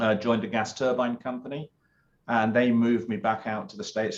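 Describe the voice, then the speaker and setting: At a moderate pace, a man with a British accent speaks with fairly even intonation. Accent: British accent, noticeable. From UK. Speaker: business consultant and former naval officer. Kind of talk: interview. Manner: many filler words and hesitations.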